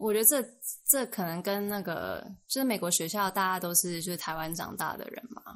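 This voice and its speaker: In an unremarkable speaking voice, someone talks fairly fast, the pitch varying in an ordinary way. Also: woman, medium pitch for a woman. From Taiwan. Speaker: former international school student. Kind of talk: casual chat.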